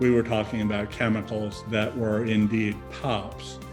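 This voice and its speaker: The man talks at a fairly slow pace while music plays behind him. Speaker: former UN environment official. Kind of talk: interview answer.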